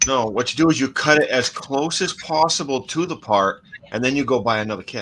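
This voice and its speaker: A Maine accent at a fairly quick pace with ordinary pitch variation, against noticeable background noise. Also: man, medium pitch for a man. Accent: mild Maine. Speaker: scale model builder. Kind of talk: casual chat.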